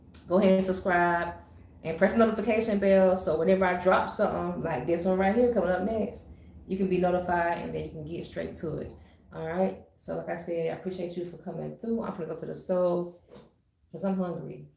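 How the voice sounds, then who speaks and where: A woman's fairly low voice carries fairly even intonation, with audible room echo around it. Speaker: hairstylist and wig tutorial creator. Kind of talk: tutorial. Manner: casual with frequent fillers.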